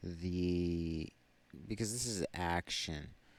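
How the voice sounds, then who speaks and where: A quiet man speaks very slowly with a very deep, low pitch and ordinary pitch variation. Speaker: tarot reader. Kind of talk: tarot reading. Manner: halting.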